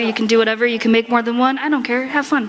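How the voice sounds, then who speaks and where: A woman's fairly high voice over noticeable background noise. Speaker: convention panel presenter and furry artist. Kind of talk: convention panel talk with audience Q&A. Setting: convention panel room with audience. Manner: loud; animated.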